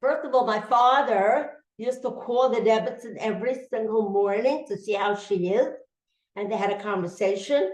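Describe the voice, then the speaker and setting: Audible room echo surrounds a woman speaking at a moderate pace. Her pitch is fairly high, with ordinary pitch variation. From Russia. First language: Yiddish. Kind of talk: testimony.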